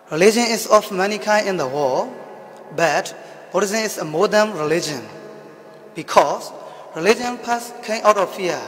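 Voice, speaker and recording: A high-pitched man talks at a moderate pace with ordinary pitch variation and long, frequent pauses, as music plays in the background. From Myanmar, Yangon region. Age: 20s. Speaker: Buddhist monk student. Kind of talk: student presentation.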